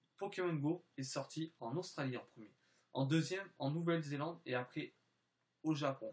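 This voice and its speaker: A man with a fairly high pitch talks in a somewhat breathy voice. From France / Spain (mixed), time in southern France. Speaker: YouTuber. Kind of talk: vlog channel presentation. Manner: halting, many hesitations.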